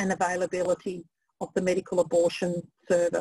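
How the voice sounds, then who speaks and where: A woman at a moderate pace, with a dry sound with no echo and a quiet background. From Australia. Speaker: project manager and webinar host. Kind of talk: webinar presentation. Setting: video call webinar. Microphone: video call.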